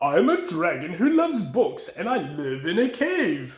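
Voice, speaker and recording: The speaker uses a put-on character voice, raised and projected. The pace is moderate. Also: man, extremely high pitch for a man. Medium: read story. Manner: warm, friendly.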